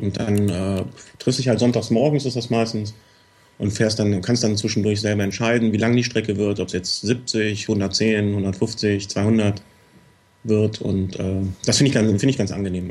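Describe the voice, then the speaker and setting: A man speaks in an ordinary speaking voice, fairly low in pitch, at a moderate pace with fairly even intonation. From Cologne, Germany. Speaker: listener guest, hobby cyclist. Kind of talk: casual chat.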